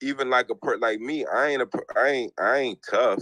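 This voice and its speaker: A man talks at a fairly slow pace. The sound is dry and close, without echo. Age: 40s. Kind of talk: casual chat. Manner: animated.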